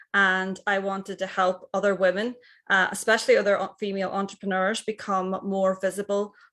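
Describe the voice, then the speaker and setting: A woman speaks in a Northern Irish accent at a moderate pace and a medium pitch. The recording is very clean, with a silent background. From Northern Ireland. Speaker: personal stylist. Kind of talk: short speaker pitch. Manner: halting.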